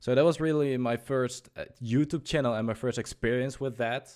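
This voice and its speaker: With a Dutch accent, a man speaks with ordinary pitch variation in a very clean recording with a silent background. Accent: Dutch accent, noticeable. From Netherlands. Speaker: youtuber and livestreamer. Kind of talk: casual podcast chat. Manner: halting, many fillers.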